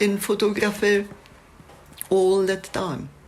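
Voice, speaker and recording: Noticeable background noise accompanies a woman speaking with a Czech accent. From Czechoslovakia. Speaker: photographer. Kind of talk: reflective monologue.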